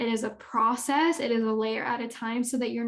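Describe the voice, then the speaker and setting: This woman has an ordinary speaking voice with a fairly high pitch. Her intonation is fairly even and her pace moderate. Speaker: spiritual life coach and energy healer. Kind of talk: casual educational talk to camera.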